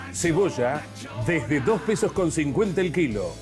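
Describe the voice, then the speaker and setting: A fairly high male voice at a fairly slow pace, with music in the background. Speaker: radio and TV announcer. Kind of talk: price list announcement read.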